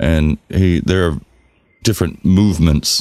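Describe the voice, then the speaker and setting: With an American accent, a man speaks in a very deep, low pitch marked by vocal fry. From US South. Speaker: podcast co-host. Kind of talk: casual chat.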